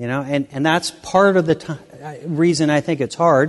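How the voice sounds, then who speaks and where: Fairly high male voice with a Midwestern American accent, fairly even intonation, a moderate pace and a quiet background. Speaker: farmer and state agriculture secretary. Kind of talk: keynote speech.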